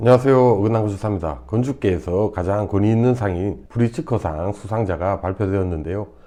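With hardly any pauses, a man with a fairly low pitch and a dark, mellow tone talks at a fairly quick pace, his pitch varying in an ordinary way. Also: quiet background. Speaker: architect and educational video host. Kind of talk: scripted narration. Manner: formal.

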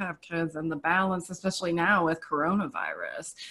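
Against a quiet background, a woman speaks at a fairly quick pace with a bright, sharp tone. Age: 50s. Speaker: design professor; panelist. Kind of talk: panel discussion. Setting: video call. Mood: reflective, candid. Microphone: video call.

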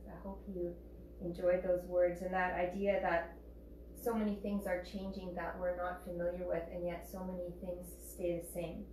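A woman amid noticeable background noise and audible room echo. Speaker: yoga teacher. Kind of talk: class instruction. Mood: calm, soothing. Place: home room. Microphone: camera far.

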